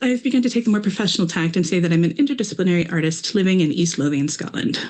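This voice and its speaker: With an American accent, a woman speaks at a fairly low pitch with lively intonation. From US Midwest, Minnesota. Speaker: artist. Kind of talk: artist talk presentation.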